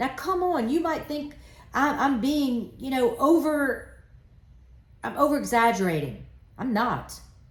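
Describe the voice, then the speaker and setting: A woman with a high pitch speaks loudly at a fairly slow pace in an animated tone, with lively intonation, long and frequent pauses, and audible room echo. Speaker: trade association president. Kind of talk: impassioned live address. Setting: live stream.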